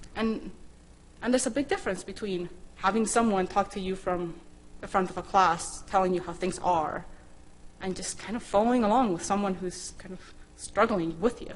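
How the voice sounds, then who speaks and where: A woman with a Spanish accent talks at a medium pitch with ordinary pitch variation. Her loudness swings widely, and there is audible room echo. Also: moderate pace. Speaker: scientist and programming instructor. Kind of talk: conference talk.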